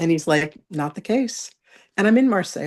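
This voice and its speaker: A woman speaks in an animated tone with very wide pitch swings. Her pace is fairly quick. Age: 60s. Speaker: psychic medium and spiritual author. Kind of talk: interview testimony.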